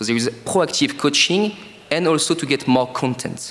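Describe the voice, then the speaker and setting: With music in the background, a man with a French accent talks at a fairly quick pace with lively intonation. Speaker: startup co-founder. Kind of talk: sales pitch.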